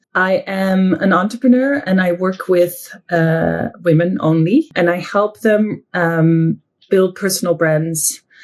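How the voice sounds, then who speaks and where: With a Dutch accent, a woman speaks very slowly at medium pitch, showing ordinary pitch variation and very even loudness. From southern Netherlands. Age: 40s. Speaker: entrepreneur. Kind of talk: interview. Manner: hesitant, with fillers.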